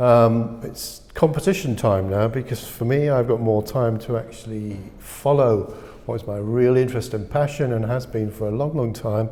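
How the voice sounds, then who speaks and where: Amid noticeable background noise, a man speaks at a moderate pace and medium pitch, his pitch varying in an ordinary way. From England (North London, then Peak District). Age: 60s. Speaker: composer. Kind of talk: interview answers. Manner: hesitant, with fillers.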